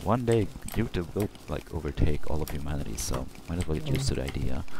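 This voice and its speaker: The speaker talks very fast in a Swedish accent. Noticeable background noise is present. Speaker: video game let's play co-host. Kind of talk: casual chat while gaming.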